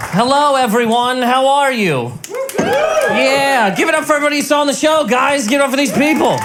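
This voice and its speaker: A man talks at an extremely high pitch and a fairly quick pace. Noticeable background noise runs behind him. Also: ordinary pitch variation, very even loudness. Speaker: stand-up comedian. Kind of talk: stand-up comedy set. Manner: fast, rapid-fire.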